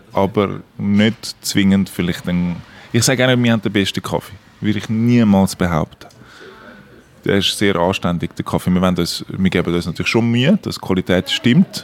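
With ordinary pitch variation and a fairly low pitch, a man talks at a moderate pace. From Switzerland, Zurich. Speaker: cafe owner. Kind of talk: interview. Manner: halting.

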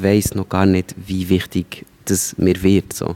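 Recorded dry and close with no echo, a man speaks with a Swiss accent. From rural Switzerland. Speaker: stand-up comedian. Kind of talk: interview.

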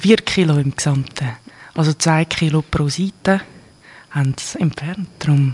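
With a Swiss accent, a woman speaks at a fairly slow pace with long, frequent pauses, her pitch very deep and low with ordinary variation, the sound dry and close with no echo. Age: 20s. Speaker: interview guest sharing personal experience. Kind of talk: personal interview.

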